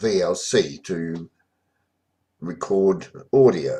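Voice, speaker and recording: A man with an Australian accent. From Australia, rural central Victoria. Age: 60s. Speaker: memoir narrator. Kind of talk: informal autobiographical narration. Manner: halting, many fillers.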